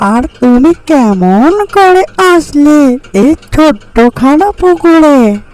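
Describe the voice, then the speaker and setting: A cartoonish character voice, high-pitched and delivered at a very slow pace. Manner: friendly, gentle.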